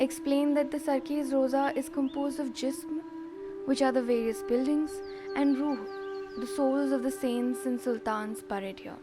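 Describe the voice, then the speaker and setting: The delivery is fairly slow, with music playing underneath. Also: woman. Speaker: narrator. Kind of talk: documentary-style myth narration.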